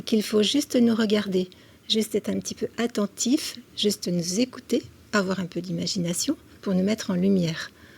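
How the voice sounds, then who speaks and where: A woman speaks at a medium pitch and a fairly slow pace, with ordinary pitch variation. Her tone is dark and mellow, and somewhat breathy. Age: 60s. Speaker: senior model. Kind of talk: TV interview.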